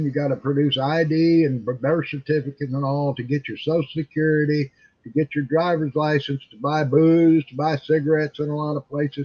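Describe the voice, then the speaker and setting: Somewhat breathy, a man speaks at a fairly high pitch and a moderate pace. His intonation stays fairly even, and the sound is dry and close with no echo. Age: 60s. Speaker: internet talk show host. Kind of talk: casual chat.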